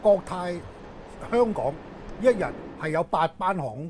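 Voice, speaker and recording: A man with a high pitch swings his voice very widely, with light background noise behind him. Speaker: aviation policy commentator. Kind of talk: interview. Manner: halting, many filler words. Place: office.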